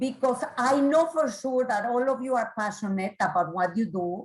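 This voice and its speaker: A woman has a normal speaking voice at a fairly high pitch. Her intonation is lively. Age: 50s. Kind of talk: presentation to professionals.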